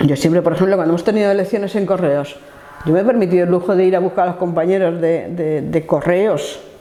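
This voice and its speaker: Amid noticeable background noise and audible room echo, a woman speaks very fast in a fairly low voice with fairly even intonation. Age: 60s. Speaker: trade unionist. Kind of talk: life story interview. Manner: hesitant, with fillers.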